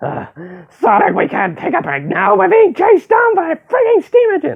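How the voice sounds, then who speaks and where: A put-on character voice at an extremely high pitch. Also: moderate pace. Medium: machinima. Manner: bickering, sarcastic.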